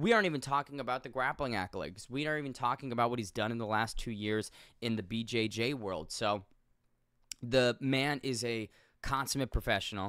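The speaker talks at a fairly quick pace with ordinary pitch variation, the sound dry with no echo and the background quiet. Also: man. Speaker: MMA commentator on a video channel. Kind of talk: casual video commentary. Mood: earnest, respectful tribute. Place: home room. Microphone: studio mic.

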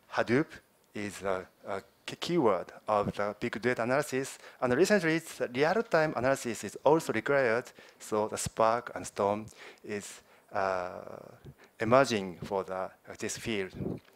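Pausing often and at length, a man with a Japanese accent speaks at a moderate pace. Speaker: software team manager. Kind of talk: conference presentation. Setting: stage with audience. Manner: halting. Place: hall. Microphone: podium.

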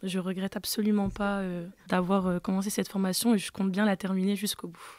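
A woman speaks in a flat monotone at a fairly quick pace on a very clean recording with a silent background. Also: medium pitch for a woman. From France (arrived from French Guiana at age 5). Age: 20s. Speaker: security trainee. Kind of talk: testimony. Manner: casual.

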